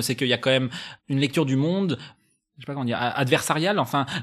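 A man's voice with ordinary pitch variation comes through on a very clean recording with a silent background. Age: 30s. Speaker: podcast host. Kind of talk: casual chat. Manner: halting, many repetitions.

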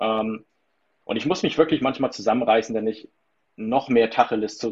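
A man's voice sits at a medium pitch. He talks very fast. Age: 30s. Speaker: stress coach. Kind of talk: interview.

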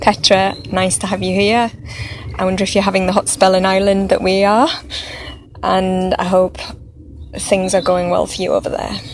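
A woman talks in a flat monotone, leaving long, frequent pauses, over noticeable background noise. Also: medium pitch for a woman. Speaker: spiritual group leader and meditation guide. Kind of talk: guided meditation, slow and hushed. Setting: Facebook Live video stream. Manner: slow, soft-spoken, soothing.

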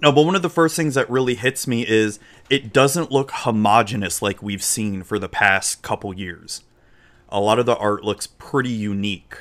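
The speaker has an American accent. The intonation is lively. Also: man, medium pitch for a man. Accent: slight Southern US, drawl when drunk. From Florida, US South. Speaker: livestreamer and podcast host. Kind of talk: casual livestream chat. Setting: live stream online.

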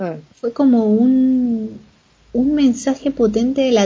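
This woman speaks with a Chilean accent. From Chile, Valparaíso. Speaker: author and traveler. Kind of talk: interview, casual chat.

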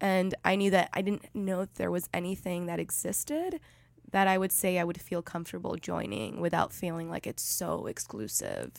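A woman speaks at a moderate pace. It is a very clean recording with a silent background. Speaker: podcast host. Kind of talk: casual chat. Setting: studio.

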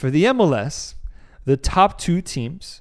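Very clean recording with a silent background: a man speaks with an American accent at a moderate pace. His tone is animated. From US, Mexican American. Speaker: football podcast co-host. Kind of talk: casual chat. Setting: studio, on camera.

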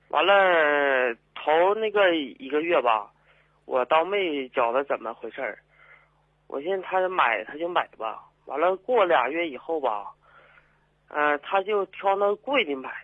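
A man with a high pitch talks at a fairly slow pace, his voice swinging very widely in pitch, with long, frequent pauses. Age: 30s. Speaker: migrant worker caller. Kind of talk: phone-in call. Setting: phone call. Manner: halting.

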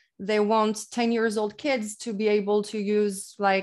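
Speaking in a French accent, a woman talks at a moderate pace in a monotone, flat intonation in a very clean recording with a silent background. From France. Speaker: English teacher. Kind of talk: casual interview.

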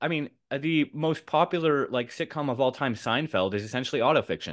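Speaking with a Canadian accent, a man with a fairly high voice uses lively intonation and hardly any pauses against a quiet background. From Canada. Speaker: writer. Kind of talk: casual chat. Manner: halting.

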